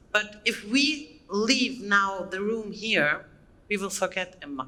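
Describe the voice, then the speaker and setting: Over noticeable background noise, a woman with a medium pitch speaks at a very slow pace with lively intonation. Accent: German. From Germany. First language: German. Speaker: conference speaker. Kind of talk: conference talk. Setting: stage with audience. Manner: halting, many fillers.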